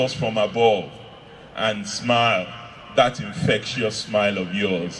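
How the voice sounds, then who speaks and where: A man speaks at a fairly slow pace. Light background noise can be heard. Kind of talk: eulogy speech. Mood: solemn, emotional tribute. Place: tent. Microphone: handheld.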